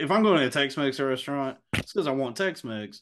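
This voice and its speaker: Here a man speaks in a Texan accent at a medium pitch with lively intonation. The background is quiet. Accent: Texan American. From Texas. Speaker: podcast host. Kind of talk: casual chat.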